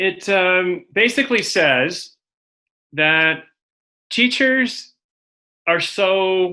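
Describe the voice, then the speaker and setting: Against a quiet background, a man with an American accent speaks in a high, bright, sharp voice with lively intonation. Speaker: education speaker. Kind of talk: webinar presentation.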